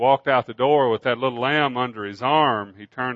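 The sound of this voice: With ordinary pitch variation, the reading voice here sounds unforced.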